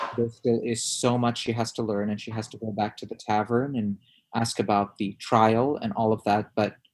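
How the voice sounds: Reading in a natural voice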